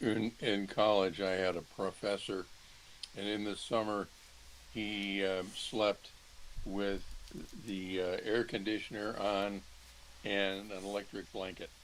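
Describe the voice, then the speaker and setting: A man speaks very slowly at a fairly low pitch in a monotone, flat delivery. Long, frequent pauses break it up over light background noise. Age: 70s. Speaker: user group member. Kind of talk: casual chat. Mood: light, humorous. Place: home room. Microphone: video call.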